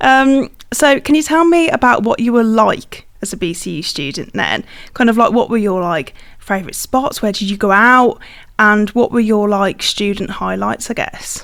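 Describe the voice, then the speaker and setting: A woman is speaking at a fairly high pitch. Her pace is moderate. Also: lively intonation. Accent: Birmingham. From Birmingham area, England. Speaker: podcast host, university staff. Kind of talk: interview conversation.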